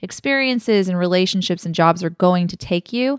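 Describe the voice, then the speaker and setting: Fairly quick speech with ordinary pitch variation, dry and close with no echo, over a quiet background. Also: woman. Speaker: blogger and podcast host. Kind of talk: casual chat. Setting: home dining table recording. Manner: loud, excited.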